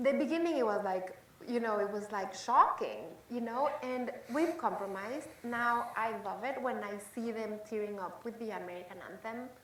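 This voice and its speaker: Fairly high-pitched woman's voice with a slight Mexican accent, moderate pace and ordinary pitch variation, amid noticeable background noise and audible room echo. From Mexico City. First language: Spanish. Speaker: chef and cooking show host. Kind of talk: panel discussion.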